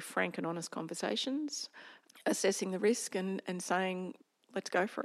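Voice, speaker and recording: Moderate-paced talk from a woman with an Australian accent. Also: very clean recording, silent background. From rural Victoria, Australia. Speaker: company director. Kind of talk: interview.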